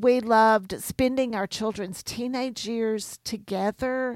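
A woman speaks in a normal speaking voice at a fairly slow pace and a fairly high pitch. The sound is dry and close with no echo, on a very clean recording with a silent background. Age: 60s. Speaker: homeschool curriculum author. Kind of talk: radio interview.

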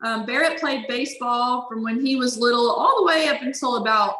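A high-pitched woman in a Louisiana accent at a moderate pace, with audible room echo. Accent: Louisiana Southern US. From Louisiana (Baton Rouge). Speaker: former college softball player. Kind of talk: interview.

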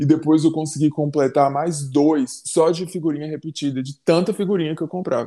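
Fairly quick speech from a man with a fairly high pitch, dark, mellow tone and fairly even intonation. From Bahia and Fortaleza, Brazil. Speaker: tribute band member, podcast co-host. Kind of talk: casual chat.

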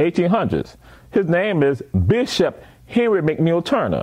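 Using an American accent, the speaker has an animated tone, very wide pitch swings and vocal fry, at a fairly slow pace. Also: man. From coastal Georgia / South Carolina Lowcountry. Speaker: professor and museum founder. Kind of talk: casual interview chat.

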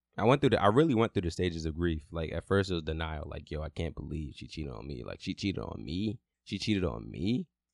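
Lively intonation and vocal fry mark this fairly quick delivery. The sound is dry and close with no echo, over a quiet background. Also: man. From New York City (Brooklyn and Queens). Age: 20s. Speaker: podcast host, mental health advocate. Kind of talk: personal storytelling monologue. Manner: casual, conversational.

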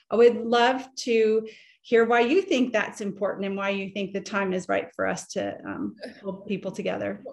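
A woman speaks at medium pitch and a moderate pace, with vocal fry. Her intonation stays fairly even. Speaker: interviewer. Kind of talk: interview.

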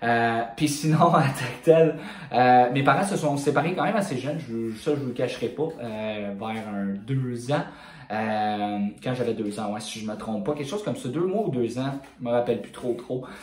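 A man with a Quebec accent at a medium pitch and a moderate pace, with audible room echo and noticeable background noise. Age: 20s. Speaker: fitness coach and bodybuilder. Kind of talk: casual monologue podcast.

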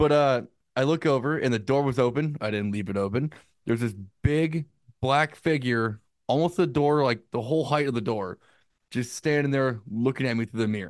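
Against a quiet background, a man in an unremarkable speaking voice talks at a fairly quick pace and medium pitch with ordinary pitch variation. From United States. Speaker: podcast co-host. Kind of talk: casual chat.

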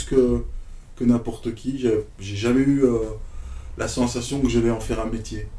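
Long, frequent pauses break up the speech, and audible room echo is present. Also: man. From Belgium (Brussels). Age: 50s. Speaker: DJ. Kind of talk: casual chat.

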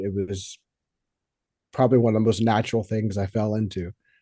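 The voice has a dark, mellow tone and an American accent. Its intonation is fairly even. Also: man. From Texas, near Houston. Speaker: drummer and audio engineer. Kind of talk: casual interview.

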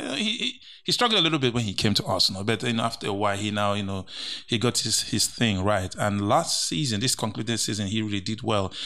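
A very fast-talking man with a Nigerian accent and a bright, sharp tone. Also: fairly low pitch for a man, ordinary pitch variation. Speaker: co-host and sports pundit. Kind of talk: casual banter about football. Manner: animated.

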